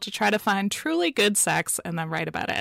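A woman speaks at a fairly quick pace in a medium pitch with lively intonation, in a very clean recording with a silent background and a dry, close sound with no echo. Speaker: book podcast co-host. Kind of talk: book review chat. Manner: fast.

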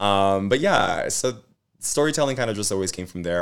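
On a very clean recording with a silent background, a man with an American accent speaks at a very fast pace in a very deep, low pitch with lively intonation. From US West Coast, East Los Angeles. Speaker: actor and activist. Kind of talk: interview conversation.

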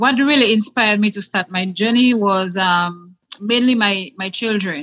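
A woman with a Dominican accent, a medium pitch, a bright, sharp tone, and a moderate pace. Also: ordinary pitch variation. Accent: Caribbean (Dominican). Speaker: guest sharing weight loss story. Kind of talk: interview.

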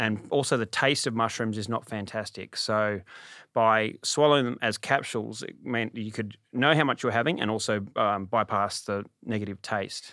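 With an Australian accent, a man speaks at a moderate pace in a medium pitch with fairly even intonation, on a very clean recording with a silent background. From Sydney, Australia. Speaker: stand-up comedian and former prisoner. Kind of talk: interview.

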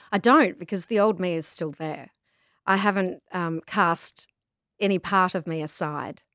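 A woman with an Australian accent at a fairly slow pace, ordinary pitch variation, in a dry, close sound with no echo. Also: medium pitch for a woman, very clean recording, silent background. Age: 40s. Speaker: travel writer, pilgrim. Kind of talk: interview, casual chat.

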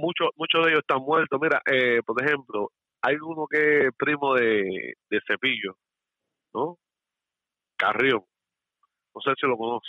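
Pausing long and often, a man talks at a fairly slow pace with a fairly high pitch and ordinary pitch variation. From Cuba, Santiago de Cuba. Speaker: caller. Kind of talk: phone-in opinion.

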